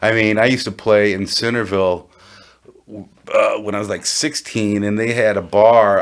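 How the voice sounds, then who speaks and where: Amid noticeable background noise, a man in an American accent talks at a fairly low pitch with fairly even intonation. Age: 60s. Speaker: blues guitarist. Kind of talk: casual chat.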